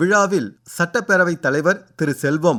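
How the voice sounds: The voice has a fairly bright tone and lively intonation, moving at a moderate pace. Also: man.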